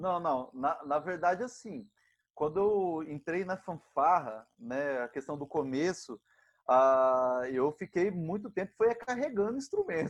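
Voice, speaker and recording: Against a quiet background, a man speaks at a very slow pace. His high pitch makes very wide swings. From Brazil, interior of São Paulo state (Ilha Solteira). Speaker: musician and band conductor. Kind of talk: casual interview chat.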